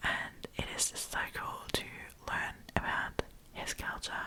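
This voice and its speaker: A woman is whispering. Background noise is noticeable. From Germany. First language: German. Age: 20s. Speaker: ASMR storyteller. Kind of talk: casual chat.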